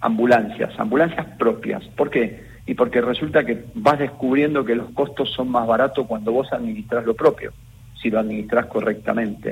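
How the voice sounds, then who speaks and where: At a moderate pace, a man with a medium pitch speaks with lively intonation in a somewhat breathy voice. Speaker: health insurance fund president. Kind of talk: radio interview.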